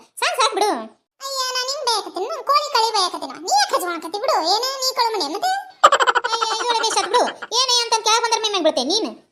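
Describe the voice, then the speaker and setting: A cartoonish character voice at an extremely high pitch. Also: moderate pace. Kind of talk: cartoon comedy sketch, several village characters. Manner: lively, bickering.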